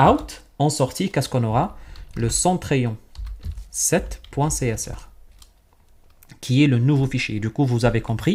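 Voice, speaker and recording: The speech moves at a very slow pace, full of long, frequent pauses. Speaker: IT tutorial instructor. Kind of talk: tutorial. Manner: soft-spoken; halting.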